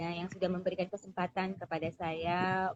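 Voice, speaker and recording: Speaking at a fairly quick pace, a woman with a fairly low pitch keeps a monotone, flat intonation. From Jakarta, Indonesia (Betawi family). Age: 40s. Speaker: small business owner. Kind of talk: interview self-introduction. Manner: hesitant with frequent fillers.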